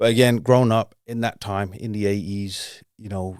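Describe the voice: A man speaks at a moderate pace with a London accent, his fairly low voice clear and smooth in tone, his intonation fairly even, on a very clean recording with a silent background.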